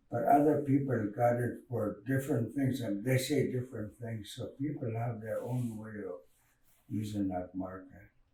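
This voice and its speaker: Amid audible room echo, a man with a dark, mellow tone and a somewhat breathy voice speaks at a fairly slow pace. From Canada, Dakelh First Nation (central British Columbia). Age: old. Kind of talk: oral storytelling. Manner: halting.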